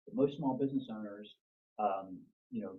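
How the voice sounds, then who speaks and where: This is a man talking. His pace is fairly quick. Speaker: business consultant. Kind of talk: presentation. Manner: fast; casual.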